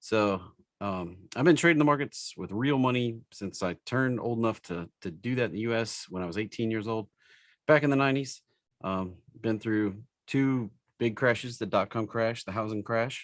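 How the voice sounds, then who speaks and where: With an East Tennessee accent, a man speaks at a moderate pace. His pitch varies in an ordinary way. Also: medium pitch for a man. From US South, East Tennessee. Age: 40s. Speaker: stock trading educator. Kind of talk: live webinar tutorial. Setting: live stream webinar with screen share. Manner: casual, with many fillers.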